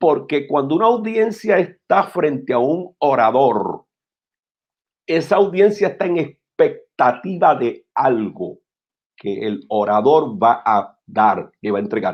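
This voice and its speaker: Pitched fairly high, a man speaks at a very slow pace with vocal fry and very wide pitch swings. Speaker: pastor. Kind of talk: interview about preaching. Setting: live-streamed talk show.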